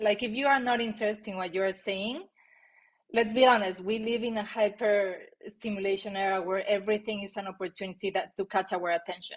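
A woman's medium-pitched voice with a Mexican accent, fairly quick and fairly even in intonation, over a quiet background. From Mexico. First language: Spanish. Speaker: marketing executive. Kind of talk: interview. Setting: video call.

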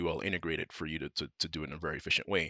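A very fast-talking man with a bright, sharp tone and vocal fry, against a quiet background. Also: dry, close sound with no echo. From Manchester, England. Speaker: marketing strategy director. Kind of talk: casual interview. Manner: hesitant, many fillers.

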